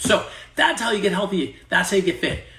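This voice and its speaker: A man's very fast speech with vocal fry. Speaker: fitness coach. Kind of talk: sales pitch; tutorial.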